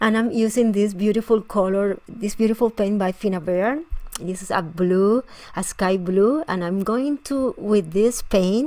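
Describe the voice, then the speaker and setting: A woman speaks with a Spanish accent at a fairly slow pace. Her pitch sits in the medium range and varies an ordinary amount. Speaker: scrapbooking tutorial host. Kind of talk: tutorial. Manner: halting, with frequent fillers and restarts.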